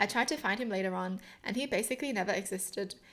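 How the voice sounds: The clip features a natural reading voice. It is read aloud throughout.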